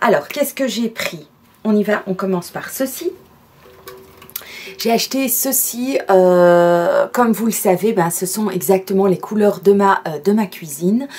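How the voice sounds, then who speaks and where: At a fairly slow pace and with long, frequent pauses, a woman with a Belgian accent speaks at medium pitch with ordinary pitch variation. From Belgium.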